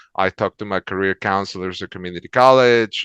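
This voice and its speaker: A man with a Spanish accent speaks in a very deep, low pitch. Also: quiet background. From El Salvador. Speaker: transportation manager. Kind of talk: interview. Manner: many fillers and repetitions.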